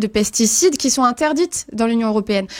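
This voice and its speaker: A woman with a fairly high pitch and ordinary pitch variation delivers her words at a fairly quick clip. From Brittany, France. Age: 30s. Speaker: political candidate. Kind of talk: radio interview. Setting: radio studio. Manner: halting, many fillers.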